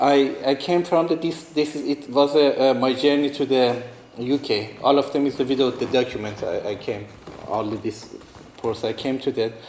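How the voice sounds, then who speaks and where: A fairly high-pitched man with a non-native accent, ordinary pitch variation and noticeable background noise. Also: moderate pace. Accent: non-native English, limited. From northeastern Iran. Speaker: artist and refugee. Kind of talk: talk to students. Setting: talk to a student audience. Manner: halting, many fillers and restarts.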